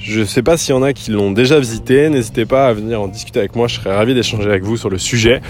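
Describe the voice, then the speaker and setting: Music playing in the background beneath ordinary pitch variation. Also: man. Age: 30s. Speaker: podcaster. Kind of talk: casual solo monologue. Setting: outdoors. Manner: halting, many fillers.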